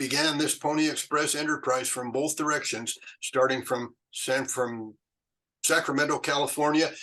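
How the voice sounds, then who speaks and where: The man speaks in a Western US accent at a moderate pace. His fairly high voice stays monotone and flat. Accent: American Western. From Utah, USA. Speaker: retired chemist and Pony Express historian. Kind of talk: interview answer. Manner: hesitant, conversational.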